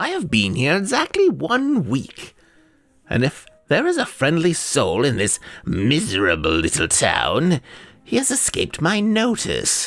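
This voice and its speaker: At a moderate pace, a man talks with a high pitch. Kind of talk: old-fashioned horror reading. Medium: read story. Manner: precise, fussy, wistful.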